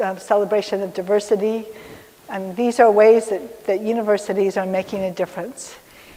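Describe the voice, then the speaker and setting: Through noticeable background noise, a woman speaks at a fairly high pitch and a moderate pace. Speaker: technology executive and diversity speaker. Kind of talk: lecture.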